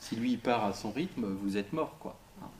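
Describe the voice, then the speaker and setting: The speaker is a man with a medium pitch. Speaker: psychosociologist giving a talk. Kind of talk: interactive lecture. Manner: fast; casual, halting with fillers.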